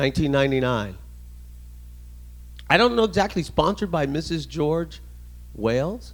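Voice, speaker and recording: A man's fairly high voice at a moderate pace, with an American accent. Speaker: navy veteran and club speaker. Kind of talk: presentation. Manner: loud; casual.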